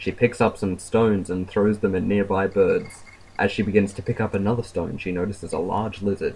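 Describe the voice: The text is simply read aloud. It is plain reading.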